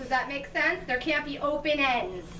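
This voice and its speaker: A woman's raised, projected voice rings with audible room echo. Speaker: chiropractor. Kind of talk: patient workshop talk. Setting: room with live audience of patients.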